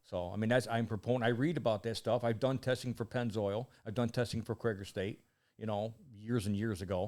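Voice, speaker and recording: A man with a plain, everyday voice at a medium pitch, fairly even intonation and a fairly quick pace, in a very clean recording with a silent background. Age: 60s. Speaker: mechanic and motorsports enthusiast. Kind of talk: casual chat. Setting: studio.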